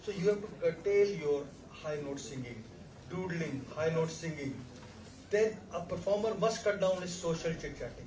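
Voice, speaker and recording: A high-pitched man speaks at a moderate pace with ordinary pitch variation, amid noticeable background noise and audible room echo. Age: 60s. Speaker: laryngologist. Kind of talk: panel discussion. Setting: medical conference.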